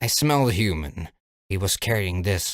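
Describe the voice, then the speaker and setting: A man growls in a gruff, put-on character voice pitched fairly low. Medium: read story. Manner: gruff, growling.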